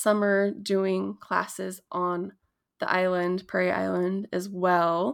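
A woman at medium pitch with an American accent, very slow pace and ordinary pitch variation, on a very clean recording with a silent background. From Minnesota, Dakota community. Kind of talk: interview.

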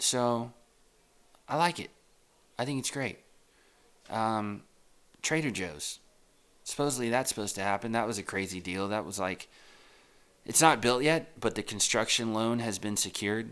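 A man with an American accent speaks at a moderate pace, his medium pitch showing ordinary variation, with long, frequent pauses on a very clean recording against a silent background. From Texas. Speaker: real estate agent podcaster. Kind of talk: casual solo monologue. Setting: home recording. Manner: rambling, conversational.

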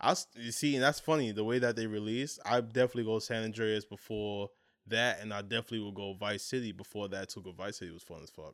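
A very fast man with a fairly low pitch and an American accent, on a very clean recording with a silent background. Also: ordinary pitch variation. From Brooklyn, New York. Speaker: sneaker podcast co-host. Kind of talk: casual chat.

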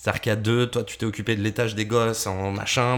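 A man's medium-pitched voice, monotone and flat in intonation, moves at a very fast pace. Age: 30s. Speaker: podcast co-host and radio presenter. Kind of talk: casual chat.

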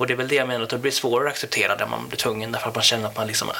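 A man talks over noticeable background noise. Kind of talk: interview. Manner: halting.

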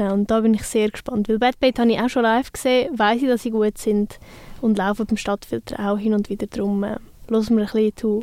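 Talking at a fairly quick pace, a woman with a fairly high pitch uses a dark, mellow tone, monotone, flat intonation and very even loudness, the sound dry and close with no echo. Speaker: radio host. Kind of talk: casual chat.

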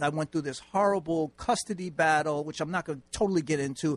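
A man speaks with a New York accent at a moderate pace. The sound is dry and close, with no echo. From New York City, Manhattan. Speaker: author and nonprofit founder. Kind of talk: radio interview.

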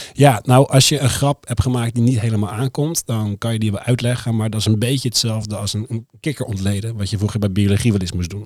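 A somewhat breathy man at medium pitch, talking at a very fast pace with hardly any pauses and fairly even intonation. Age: 30s. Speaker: comedian. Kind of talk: casual chat. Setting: studio.

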